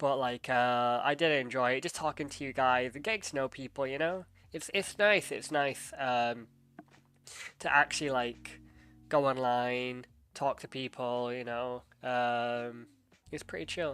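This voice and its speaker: With an English accent, a man speaks fairly slowly at a medium pitch, his bright, sharp tone showing ordinary pitch variation. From England. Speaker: streamer. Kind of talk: casual chat. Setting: live stream. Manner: hesitant, many fillers.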